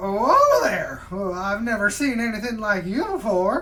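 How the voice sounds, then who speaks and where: In a put-on character voice, the speaker projects a raised voice at a fairly high pitch. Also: moderate pace. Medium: actual play. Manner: folksy, easygoing.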